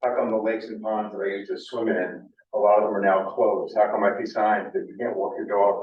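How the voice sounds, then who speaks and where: A man with a New England accent at a fairly quick pace, with audible room echo. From Cape Cod, Massachusetts. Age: 60s. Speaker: nonprofit executive director. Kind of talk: public presentation. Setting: community meeting in a library.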